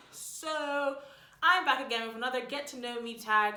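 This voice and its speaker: Noticeable background noise, plus audible room echo. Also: woman. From Bermuda. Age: 20s. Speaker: YouTuber, university student. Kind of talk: casual vlog chat.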